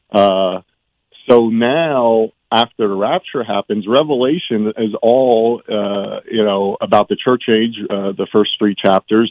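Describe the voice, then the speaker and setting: A man with a fairly low pitch and ordinary pitch variation talks in a normal speaking voice. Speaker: caller. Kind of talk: casual chat. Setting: phone call.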